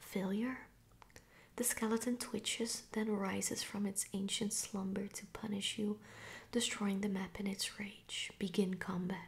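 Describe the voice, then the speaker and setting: A woman whispers at a fairly slow pace. She is soft-spoken and somewhat breathy. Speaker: board game reviewer. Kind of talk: reading game cards aloud, casual commentary. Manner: soft ASMR whisper narrating spooky text. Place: home room.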